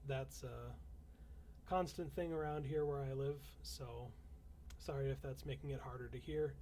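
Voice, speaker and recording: Audible room echo surrounds a man speaking at a moderate pace. He leaves long, frequent pauses. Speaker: fantasy author reading classic literature on stream. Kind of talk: reading aloud a novel with casual asides; casual livestream chat. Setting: livestream at home.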